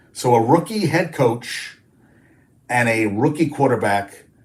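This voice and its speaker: Somewhat breathy, a man speaks at a fairly slow pace and medium pitch with ordinary pitch variation. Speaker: sports talk show host. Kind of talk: live stream sports talk. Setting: live stream. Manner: animated.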